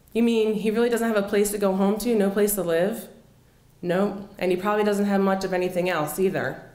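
A woman speaks with an American accent and ordinary pitch variation. Audible room echo surrounds her voice. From Philadelphia, US. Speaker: storyteller. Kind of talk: personal storytelling performance. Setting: stage with audience. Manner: animated, conversational, expressive. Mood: earnest, reflective. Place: cafe. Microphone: handheld.

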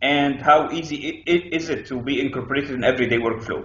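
Speaking at a moderate pace, a man is heard with audible room echo. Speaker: interview guest. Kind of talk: interview answer. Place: home room. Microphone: video call.

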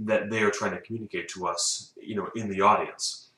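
Amid audible room echo, a man speaks in a bright, sharp tone. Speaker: film reviewer. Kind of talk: casual film review monologue. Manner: slurring words; halting, with fillers. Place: home room. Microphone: camera far.

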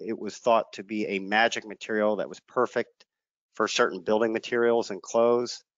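The intonation is monotone and flat. The sound is dry with no echo, over a quiet background. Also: man. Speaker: state environmental regulator. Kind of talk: lecture. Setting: video webinar. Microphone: headset.

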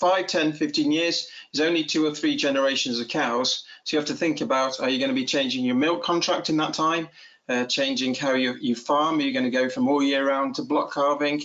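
A man speaks with a Cheshire accent at a fairly high pitch and a fairly quick pace. His pitch varies in an ordinary way and his loudness stays very even. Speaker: dairy farmer. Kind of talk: webinar presentation. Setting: video call. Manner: fast talker; halting, many repeated words.

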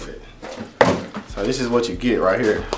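A man against loud background noise. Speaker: product reviewer. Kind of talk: casual vlog chat. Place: home room.

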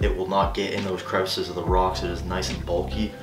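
A man talks fairly fast while clear music plays behind him. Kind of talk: tutorial. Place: home room.

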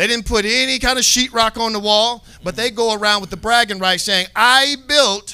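Raised and projected, a man's high-pitched voice carries a bright, sharp tone at a moderate pace. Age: 40s. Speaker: bible teacher. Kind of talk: bible class. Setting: live online class. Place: studio. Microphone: handheld.

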